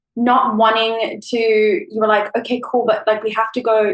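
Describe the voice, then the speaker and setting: This woman has a South African accent. Her pitch is fairly high. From South Africa, Cape Town. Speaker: former au pair. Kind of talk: casual chat. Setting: remote call. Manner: animated.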